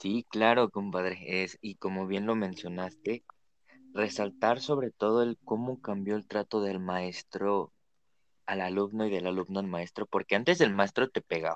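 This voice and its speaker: A man speaks fairly slowly at a fairly low pitch with fairly even intonation. He has a plain, everyday voice, with a dry, close sound and no echo. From Mexico, Naucalpan. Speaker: podcast co-host. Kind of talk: casual chat.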